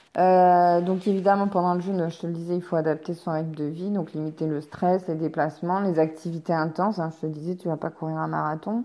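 Dark and mellow, a woman's fairly low voice moves at a fairly quick pace with hardly any pauses and monotone, flat intonation. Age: 30s. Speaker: podcaster on energy healing and wellbeing. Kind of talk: casual solo book review. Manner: hesitant, many fillers.

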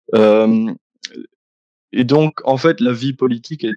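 Recorded dry and close with no echo, a man of medium pitch speaks at a fairly slow pace. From Belgium, Liège. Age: 20s. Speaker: YouTuber, philosophy student. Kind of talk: interview.

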